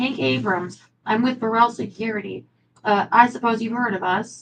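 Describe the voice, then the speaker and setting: A woman puts on a character voice, raspy and fairly high in pitch. She speaks at a moderate pace. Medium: read story. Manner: cool, self-assured.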